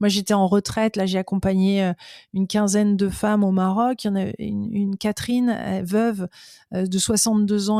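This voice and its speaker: The sound is dry and close with no echo as a woman speaks at a medium pitch and a fairly slow pace. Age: 40s. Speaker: personal development youtuber. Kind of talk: casual interview chat. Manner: halting, many repetitions.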